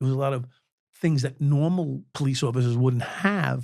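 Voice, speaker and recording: A man's fairly high, somewhat breathy voice in a New York accent, at a moderate pace. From New York City (Brooklyn). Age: 60s. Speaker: former police officer. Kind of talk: interview.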